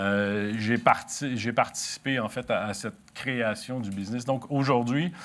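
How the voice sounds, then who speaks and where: A man in a Canadian French accent speaks at a fairly slow pace with hardly any pauses, in a medium pitch with fairly even intonation. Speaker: company chief executive. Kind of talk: corporate strategy presentation. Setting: meeting room with audience, live broadcast. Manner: halting, many hesitations.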